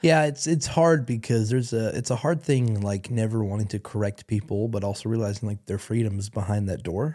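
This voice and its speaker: In a very clean recording with a silent background, a man with a dark, mellow tone speaks at medium pitch with ordinary pitch variation and hardly any pauses. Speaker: co-host of a church podcast. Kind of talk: casual chat about faith.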